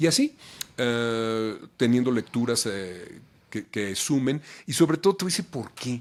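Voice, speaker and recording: Speaking fairly slowly with a Mexican accent, a man has a medium-pitched voice. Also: lively intonation. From Mexico City. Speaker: voice actor; announcer. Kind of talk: interview answer.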